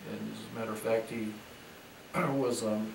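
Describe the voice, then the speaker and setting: Against noticeable background noise, a man with a fairly low pitch talks with fairly even intonation. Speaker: retired businessman, interviewed grandfather. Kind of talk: interview answer, recounting personal history. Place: home room. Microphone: camera far.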